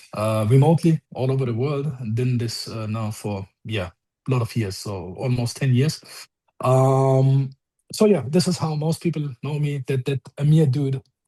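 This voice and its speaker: With a German accent, a man speaks at a moderate pace in a dark, mellow, somewhat breathy tone, his medium pitch varying in an ordinary way, in a dry, close recording with no echo. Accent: German accent, can't lose it. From Germany. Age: 40s. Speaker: car coder and online group admin. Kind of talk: casual podcast chat. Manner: halting, many fillers.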